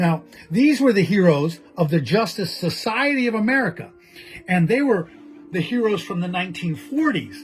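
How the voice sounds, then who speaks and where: A man's high voice with very wide pitch swings and music in the background. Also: moderate pace. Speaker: collector and gallery co-owner. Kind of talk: casual video monologue. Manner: loud; animated.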